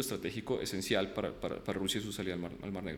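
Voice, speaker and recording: Room echo is audible around the speaker. He is a man talking at a very fast pace. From Ukraine, moved to Colombia at 10. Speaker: international relations professor. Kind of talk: interview.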